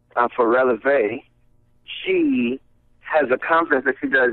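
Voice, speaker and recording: Speaking at a moderate pace, a man with an American accent keeps his intonation fairly even. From US South, Savannah, Georgia. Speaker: recording artist. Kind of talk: radio interview.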